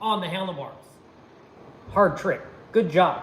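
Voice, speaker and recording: A man with a high pitch speaks amid noticeable background noise and audible room echo. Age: 60s. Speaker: former pro BMX rider and channel host. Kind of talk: livestream chat. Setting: garage workshop.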